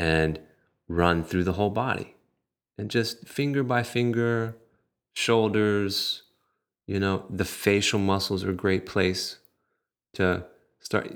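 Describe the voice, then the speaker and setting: At a very slow pace, a man talks in a fairly low pitch with ordinary pitch variation. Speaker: yoga instructor and massage therapist. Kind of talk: interview, casual conversation.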